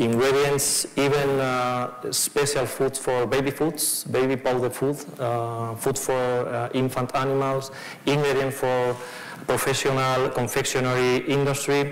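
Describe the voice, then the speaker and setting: A man at a medium pitch talks at a fairly slow pace in a flat monotone, his loudness very even. Audible room echo and noticeable background noise are in the recording. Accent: Spanish. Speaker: fund manager. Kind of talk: conference presentation. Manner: halting, many fillers.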